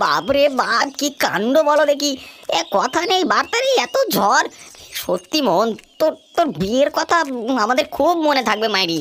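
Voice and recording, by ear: A cartoonish character voice, high in pitch, at a moderate pace.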